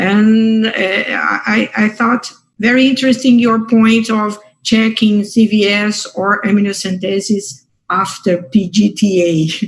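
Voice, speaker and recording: A woman with a Portuguese accent, fairly high in pitch, with fairly even intonation at a very slow pace. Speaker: fertility doctor. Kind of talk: academic discussion. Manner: halting.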